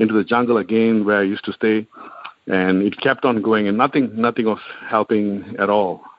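At a fairly quick pace, a man with a fairly low pitch talks in a monotone, flat way. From Singapore. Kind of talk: testimony.

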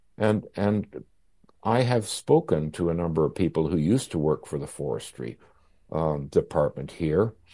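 The speaker has a Canadian accent, a dark, mellow tone, and lively intonation. The pace is moderate and the background is quiet. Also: man, very deep, low pitch for a man. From Canada, Victoria, British Columbia. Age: 80s+. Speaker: historian and author. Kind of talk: interview. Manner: halting.

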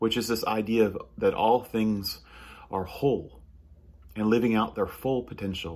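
A man keeps a moderate pace and fairly even intonation, pausing long and often. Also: medium pitch for a man. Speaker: pastor. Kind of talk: sermon. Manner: halting, many fillers.

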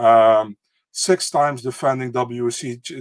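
A man with a Dutch accent speaks at a medium pitch with fairly even intonation. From Netherlands. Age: 30s. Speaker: MMA podcast co-host. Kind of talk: casual chat.

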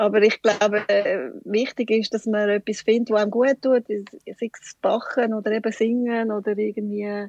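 At a moderate pace, a woman speaks in a fairly high pitch, the sound dry and close with no echo. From Switzerland, canton Schwyz (Wollerau). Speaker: shop owner. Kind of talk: interview. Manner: hesitant, many fillers.

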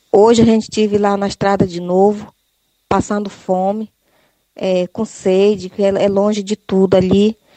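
Delivery comes at a fairly slow pace. The intonation stays monotone and flat. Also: woman, medium pitch for a woman. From Ituqui region, Santarém, Pará. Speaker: rural producer. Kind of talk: recorded complaint. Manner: halting.

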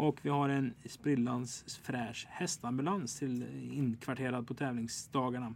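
Using an unremarkable speaking voice, a man holds a medium pitch and lets it vary in an ordinary way. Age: 20s. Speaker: podcast host. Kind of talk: casual chat.

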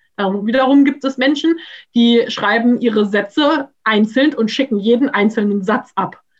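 A woman with a plain, everyday voice talks at a moderate pace in a fairly high pitch, showing ordinary pitch variation. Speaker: graduate student. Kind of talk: casual discussion. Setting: video call.

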